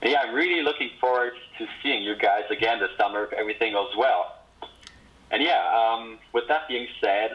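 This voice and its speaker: With a Swiss accent, a man speaks at a moderate pace. Noticeable background noise runs behind him. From Switzerland. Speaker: former camp counselor. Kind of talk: casual video greeting.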